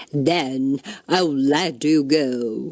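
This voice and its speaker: In a put-on character voice, the speaker booms at a low-to-middle pitch. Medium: read story.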